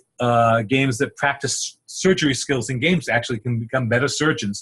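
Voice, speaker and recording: A man with a Rhode Island accent, medium pitch, ordinary pitch variation and a moderate pace. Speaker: psychologist. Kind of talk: lecture. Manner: halting, many repetitions.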